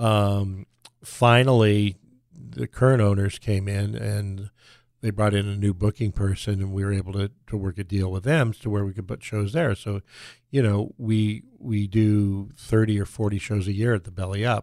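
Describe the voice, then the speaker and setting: An ordinary speaking voice, a man with an American accent, fairly low in pitch, fairly even intonation, moderate pace, dry and close with no echo, very clean recording with a silent background. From Southern California. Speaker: music venue owner. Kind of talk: interview.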